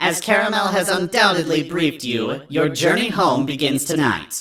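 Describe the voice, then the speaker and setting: Put-on character voice at middle pitch, lively in intonation, with very even loudness. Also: moderate pace. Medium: read story. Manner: regal, cold.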